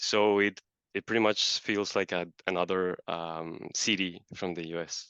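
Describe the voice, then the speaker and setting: A man with a Colombian accent speaks in a very deep, low pitch. His delivery is monotone and flat, at a fairly slow pace. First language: Spanish. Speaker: marketer. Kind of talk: interview.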